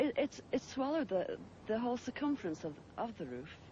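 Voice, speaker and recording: Very wide pitch swings from a somewhat breathy woman in an English Midlands accent, at a moderate pace, with light background noise and a dry sound with no echo. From England. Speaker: UFO witness, mother. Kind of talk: interview answer. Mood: earnest, animated. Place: open country. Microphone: old recording.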